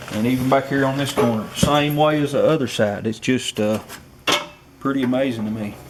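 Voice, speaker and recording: Over noticeable background noise, a man of medium pitch talks at a fairly quick pace with fairly even intonation. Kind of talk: casual talk about car condition.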